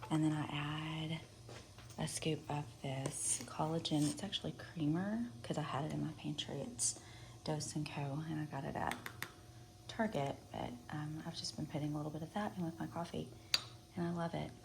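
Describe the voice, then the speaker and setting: A soft-spoken woman talks at a moderate pace with a very deep, low pitch and long, frequent pauses. Noticeable background noise sits behind her. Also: ordinary pitch variation. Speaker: wellness vlogger. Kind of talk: casual vlog. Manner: casual, rambling.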